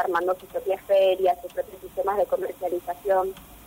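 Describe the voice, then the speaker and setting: A woman with a medium-pitched voice talks at a fairly quick pace with ordinary pitch variation. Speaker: university gender researcher. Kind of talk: radio column segment.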